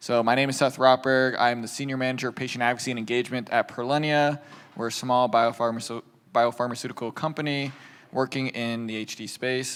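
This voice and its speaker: With an American accent, a man speaks at a medium pitch and a fairly quick pace in a monotone, flat intonation. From US. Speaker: patient advocacy manager, panel moderator. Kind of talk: panel discussion.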